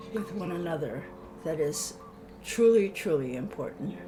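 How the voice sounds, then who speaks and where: Music plays in the background as a woman speaks amid audible room echo. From Hawaii, Honolulu. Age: 80s+. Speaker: elder interviewee. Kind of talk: reflective interview. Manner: halting.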